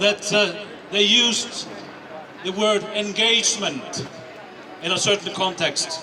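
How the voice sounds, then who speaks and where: A man with a non-native accent speaks in a raised, projected voice at a high pitch. Noticeable background noise sits behind him. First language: not English. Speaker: editor-in-chief. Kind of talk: protest speech. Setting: outdoor rally.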